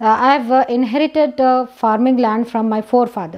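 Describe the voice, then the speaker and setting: A woman with an Indian accent, fairly quick in pace and fairly even in intonation. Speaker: doctor, professor of pathology and farmer, protest speaker. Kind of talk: rally speech appealing to a crowd to join a protest. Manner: earnest, urgent, pleading; halting with fillers and repeated phrases. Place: home room. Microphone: lapel.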